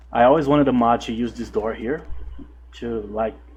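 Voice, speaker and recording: This man has a Brazilian Portuguese accent. He talks at a fairly quick pace. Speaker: gaming YouTuber. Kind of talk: gameplay commentary. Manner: halting, stumbles over words; casual, relaxed.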